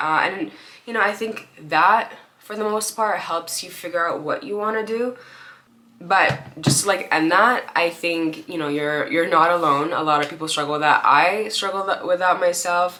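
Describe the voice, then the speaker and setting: Through noticeable background noise, a woman talks at a moderate pace, her fairly low pitch showing ordinary pitch variation. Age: 20s. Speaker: YouTuber. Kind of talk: casual chat. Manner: rambling filler-heavy.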